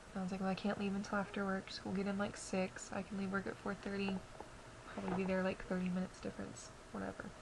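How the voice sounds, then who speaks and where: A woman speaks quietly and fairly quickly, her medium-pitched voice monotone and flat, over noticeable background noise. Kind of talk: casual talk to camera. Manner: quiet, subdued.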